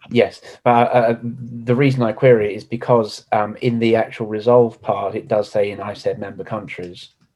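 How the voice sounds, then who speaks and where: A man with a British accent speaks at a moderate pace in a flat, monotone way, with hardly any pauses. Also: medium pitch for a man. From United Kingdom. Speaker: conference delegate. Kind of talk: meeting discussion.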